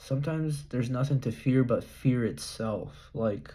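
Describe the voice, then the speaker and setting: Very slowly, a man speaks in a somewhat breathy, dark, mellow tone at a medium pitch with ordinary pitch variation. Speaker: vlogger. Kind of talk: reading aloud with commentary. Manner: halting.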